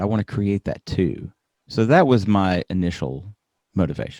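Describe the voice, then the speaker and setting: A man with an American accent at a fairly low pitch and fairly slow pace, in a dry, close sound with no echo on a very clean recording with a silent background. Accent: slight Southern US (Alabama), toned down. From US South, Birmingham, Alabama. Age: 40s. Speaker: podcaster, professor. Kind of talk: interview.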